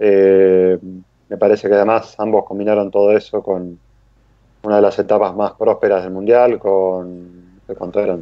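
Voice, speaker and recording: A man speaks with an Argentine accent. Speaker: rally podcast co-host. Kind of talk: casual chat.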